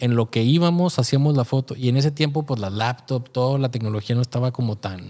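A man with a Mexican accent speaks at a fairly quick pace with hardly any pauses, using a medium pitch, ordinary pitch variation, and a dark, mellow tone against a quiet background. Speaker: photographer podcast co-host; podcast host. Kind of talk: casual chat. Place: studio. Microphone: studio mic.

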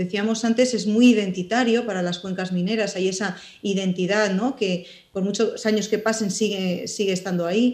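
A woman speaks at a moderate pace against a quiet background. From Spain, mining area of León mountains; León, Spain. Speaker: writer and journalist; interviewee. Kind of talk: interview. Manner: hesitant, many fillers. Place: home room. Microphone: video call.

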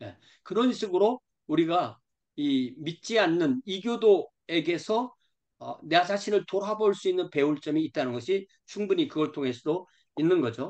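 Lively intonation and a high pitch from a man at a fairly slow pace, against a quiet background. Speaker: pastor teaching a study group. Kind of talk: lecture. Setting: video call. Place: home room. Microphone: video call.

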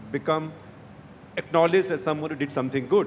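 Light background noise sits behind a man who speaks with an Indian accent at a fairly high pitch. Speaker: journalist. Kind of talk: panel discussion. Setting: stage with audience. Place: hall. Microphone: handheld.

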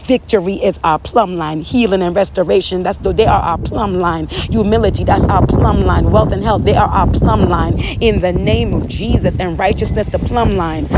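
A woman talks with hardly any pauses, her sound dry with no echo, against loud background noise. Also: moderate pace. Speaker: prayer leader. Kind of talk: fervent prophetic prayer, intercessory, declaring scripture aloud. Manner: impassioned, earnest, rhythmic repetition. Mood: earnest, fervent. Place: home room. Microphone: phone near.

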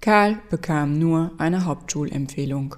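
In a calm, deadpan tone, a woman speaks at a moderate pace with a very deep, low pitch and a dark, mellow tone. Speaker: narrator reading a fairy tale. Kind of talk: bedtime story telling. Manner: calm, storytelling cadence with wry, deadpan humor.

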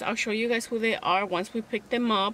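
Light background noise sits behind a woman speaking at a moderate pace, the sound dry with no echo. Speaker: vlogger. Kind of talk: casual vlog chat. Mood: chatty, amused, slightly exasperated. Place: car. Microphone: phone near.

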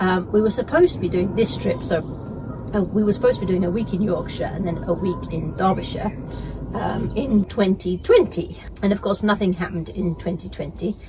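There is noticeable background noise as a woman talks. She speaks at a fairly quick pace with ordinary pitch variation. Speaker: caravan travel vlogger. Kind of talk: casual vlog chat. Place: home room. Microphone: camera far.

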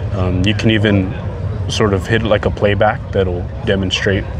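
Noticeable background noise around a man at a moderate pace, in a dry sound with no echo. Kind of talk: interview answer. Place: open country. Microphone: lapel.

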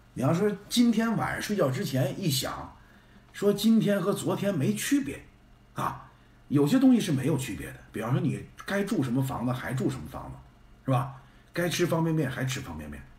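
A man talks at a moderate pace, and audible room echo follows his voice. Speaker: live streamer. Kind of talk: casual live-stream chat. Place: home room. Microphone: phone near.

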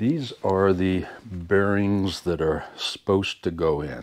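The pitch is very deep and low. It comes from a man. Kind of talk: tutorial. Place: garage. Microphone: phone near.

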